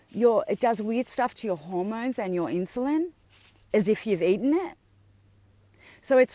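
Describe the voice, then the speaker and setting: With lively intonation and an Australian accent, a woman speaks at a moderate pace in a fairly high pitch. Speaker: health and wellness coach. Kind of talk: live video talk to viewers. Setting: outdoors on a beach.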